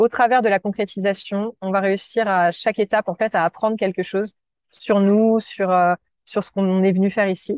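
Over a quiet background, a woman speaks at a moderate pace and medium pitch in a flat monotone, the sound dry and close with no echo. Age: 30s. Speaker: entrepreneur. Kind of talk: interview.

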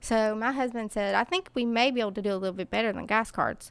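A woman's fairly high voice in an Appalachian accent, fairly quick, with ordinary pitch variation, on a very clean recording with a silent background. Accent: Appalachian Southern US. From US South, Kingsport, Tennessee. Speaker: charity founder. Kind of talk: interview.

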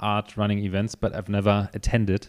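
A speaker with a German accent. The recording is very clean, with a silent background. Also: man. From Germany. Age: 30s. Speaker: podcast host, coffee shop owner. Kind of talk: casual interview.

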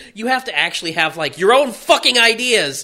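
With a raised, projected voice, a man speaks at a high pitch, his pitch swinging very widely. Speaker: podcast co-host. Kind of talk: casual chat.

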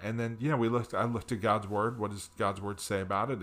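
This man talks in an unremarkable speaking voice with an American accent, a fairly low pitch and fairly even intonation. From US Northeast, New Jersey. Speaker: marriage ministry pastor. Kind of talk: casual interview.

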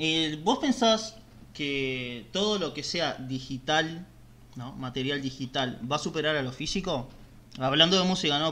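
With a Rioplatense accent, a man speaks at a moderate pace in a fairly high pitch, his tone bright and sharp and his pitch variation ordinary. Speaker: podcast co-host. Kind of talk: casual interview.

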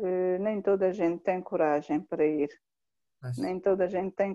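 A woman speaks with a Mozambican accent. Her tone is dark and mellow. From Mozambique (Inhambane). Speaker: humanitarian worker. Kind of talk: interview, personal testimony. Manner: halting, with repetitions.

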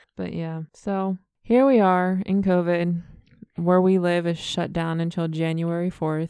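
This woman talks at a fairly slow pace, her intonation fairly even. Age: 30s. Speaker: podcast co-host. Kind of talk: reading aloud; casual chat.

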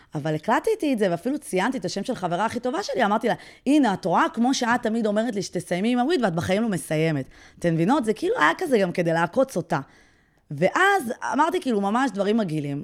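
A woman speaks very fast in a fairly high pitch with very wide pitch swings. The recording is very clean with a silent background. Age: 30s. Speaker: podcast host and blogger. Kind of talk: casual chat.

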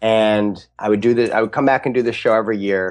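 The voice is a normal speaking voice with fairly even intonation. The background is quiet. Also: man. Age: 30s. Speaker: magician and comedian. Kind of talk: interview conversation.

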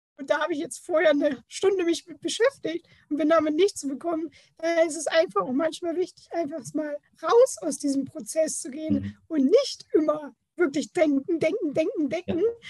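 A woman talks at a moderate pace and an extremely high pitch, with ordinary pitch variation and big swings in loudness, in a dry, close sound with no echo. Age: 30s. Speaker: creativity mentor. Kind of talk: interview.

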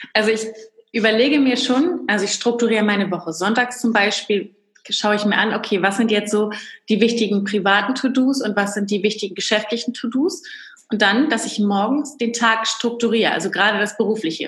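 Here is a plain, everyday voice from a woman with a fairly high pitch and ordinary pitch variation. She speaks at a fairly quick pace. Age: 30s. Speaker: entrepreneur and business coach. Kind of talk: interview.

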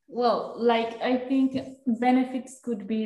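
With a Spanish accent, a woman speaks at a very slow pace. Audible room echo can be heard. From Colombia. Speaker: design master's student, innovation consultant. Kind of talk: casual interview. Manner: halting, repeats words.

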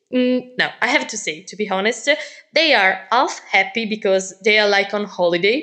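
Speaking with an Italian accent, a woman uses a fairly high voice at a moderate pace with ordinary pitch variation. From Italy. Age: 20s. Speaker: teacher. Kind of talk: casual chat. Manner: halting.

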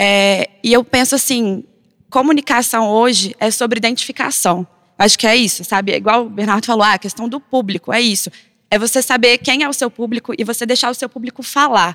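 A plain, everyday voice at a fairly quick pace, ordinary pitch variation, and a dry, close sound with no echo. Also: woman, fairly high pitch for a woman. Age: 20s. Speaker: designer and content producer. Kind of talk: panel discussion.

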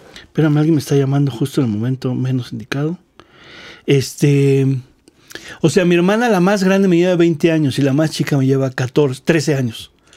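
The man's voice is fairly high in pitch yet dark and mellow in tone, moving at a moderate pace with ordinary pitch variation. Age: 40s. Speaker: drummer. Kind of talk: casual chat.

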